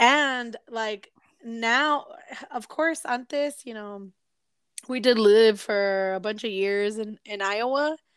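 Speaking at a very slow pace, a woman with a fairly high pitch shows ordinary pitch variation and big swings in loudness. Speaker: podcast co-host. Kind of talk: casual chat.

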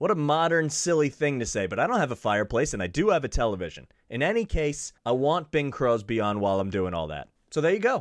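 A man with a fairly high pitch, very wide pitch swings and a very fast pace, over a quiet background. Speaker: podcast host. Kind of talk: casual solo podcast chat. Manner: fast talker.

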